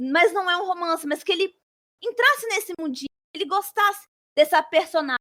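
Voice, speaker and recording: A woman's bright, sharp voice with ordinary pitch variation, in a dry, close sound with no echo. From Brazil, Espírito Santo. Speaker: author and flight attendant. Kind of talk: interview.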